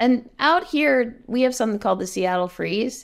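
A woman's voice with very wide pitch swings, on a very clean recording with a silent background. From US Northeast, New Jersey. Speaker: nonprofit cofounder. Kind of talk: casual chat.

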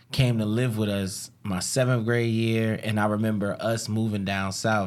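A man talks at a moderate pace with an American accent. The recording is very clean, with a silent background. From New Jersey. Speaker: podcast host. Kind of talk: casual chat. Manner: animated.

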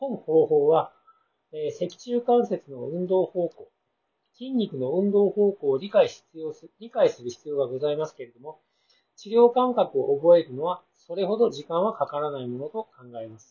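His pitch is high for a man and swings very widely. His loudness also rises and falls sharply. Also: moderate pace. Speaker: judo therapist, bonesetter clinic owner. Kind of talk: reading a paper aloud.

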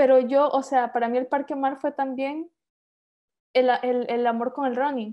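A woman with a Honduran accent speaks at a high pitch and a fairly slow pace, her intonation monotone and flat. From Honduras, San Pedro Sula. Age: 30s. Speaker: engineer and author. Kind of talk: interview.

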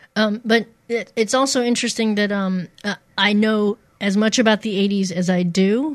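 A woman with a plain, everyday voice speaks at a moderate pace and medium pitch. Her intonation is fairly even. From Missouri, US. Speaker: radio DJ. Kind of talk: casual interview chat.

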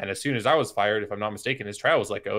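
A man at a very fast pace and fairly low pitch, with fairly even intonation, in a very clean recording with a silent background. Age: 20s. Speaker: esports coach and observer. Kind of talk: casual interview.

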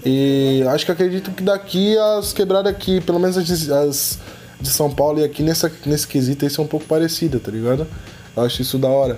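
Over music in the background, a man with a fairly high pitch talks at a fairly quick pace with ordinary pitch variation. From Florianópolis, Brazil. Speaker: podcast host. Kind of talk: casual chat.

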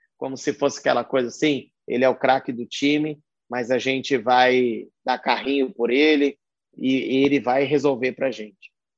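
A man speaks at a medium pitch and a moderate pace, his intonation monotone and flat. The background is quiet. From São Paulo state, Brazil. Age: 40s. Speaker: concert production manager. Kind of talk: interview.

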